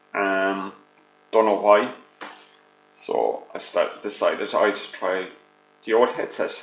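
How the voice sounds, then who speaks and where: The speech moves at a very slow pace with long, frequent pauses. Audible room echo surrounds it. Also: man. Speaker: vaping product reviewer. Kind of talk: video review. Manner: loud. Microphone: laptop headset mic held far from mouth.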